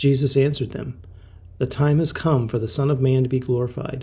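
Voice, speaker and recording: A man speaks at a moderate pace and medium pitch with fairly even intonation. His tone is dark and mellow, and somewhat breathy. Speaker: scripture reader. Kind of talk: scripture reading, steady devotional read-aloud of a Bible chapter. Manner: calm, measured, reverent.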